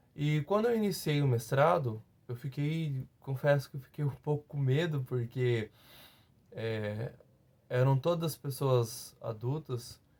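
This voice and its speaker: A man speaks at a very slow pace. His fairly high voice is somewhat breathy. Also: ordinary pitch variation. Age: 30s. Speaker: teacher, former master's student. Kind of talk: testimony. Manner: halting, many fillers and repetitions.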